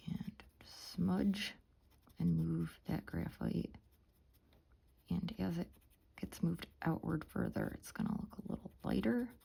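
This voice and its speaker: A woman speaks in a calm tone at a fairly slow pace. Her pauses are long and frequent. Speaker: art tutorial creator. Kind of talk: tutorial. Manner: soft-spoken.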